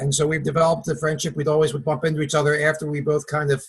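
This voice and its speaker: Somewhat breathy and fairly high-pitched, the man speaks with monotone, flat intonation. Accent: Philadelphia. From Philadelphia area, US. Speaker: network marketing partner, former vitamin rep. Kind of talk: webinar introduction, personal story.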